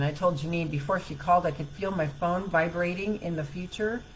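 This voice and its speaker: This woman has an ordinary speaking voice, fairly low in pitch, moving at a moderate pace. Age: 60s. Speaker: self-help coach. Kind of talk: live stream talk. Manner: casual.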